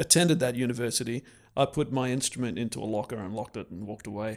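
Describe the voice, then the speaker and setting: In an Australian accent, a man speaks at a medium pitch with ordinary pitch variation. The recording is very clean, with a silent background. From Australia (Canberra). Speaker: professional violist. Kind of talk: interview conversation.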